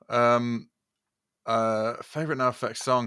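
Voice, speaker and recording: Bright and sharp in tone, a man speaks at a medium pitch with a Southern English accent. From southern England, Brighton-born, raised in Yorkshire from age nine. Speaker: podcast co-host, music producer. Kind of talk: casual chat. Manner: halting, many fillers.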